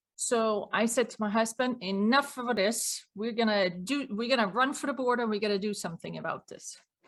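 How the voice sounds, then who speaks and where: A woman with a Swedish accent and a fairly high pitch talks at a fairly quick pace with hardly any pauses and ordinary pitch variation, on a very clean recording with a silent background. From Sweden. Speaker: business owner and cost consultant. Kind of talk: interview.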